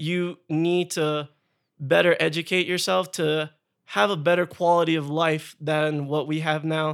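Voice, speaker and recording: A man has an unremarkable speaking voice, fairly high in pitch. He talks at a fairly slow pace with fairly even intonation. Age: 20s. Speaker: army officer. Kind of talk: casual interview.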